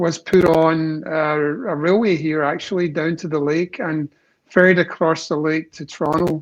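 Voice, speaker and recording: A man with a slight Scottish accent speaks fairly slowly and with fairly even intonation. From Scotland, Glasgow. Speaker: company executive. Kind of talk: casual interview.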